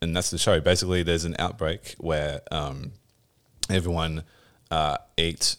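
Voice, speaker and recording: Very deep and low, a man's voice carries an Australian accent. He speaks at a fairly slow pace with fairly even intonation. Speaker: podcast host, video game developer. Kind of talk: casual chat.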